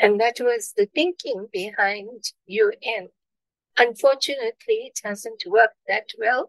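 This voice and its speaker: A woman's fairly high pitch at a very slow pace, with ordinary pitch variation and a dry, close sound with no echo. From South Africa, Durban. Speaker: peace activist. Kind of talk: interview.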